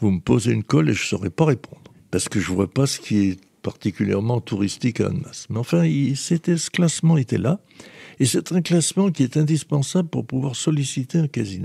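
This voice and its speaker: A somewhat breathy man's voice, medium in pitch and dark and mellow in tone, with very wide pitch swings at a fairly quick pace, in a dry, close sound with no echo. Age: 80s+. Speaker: former mayor. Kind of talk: interview. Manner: halting.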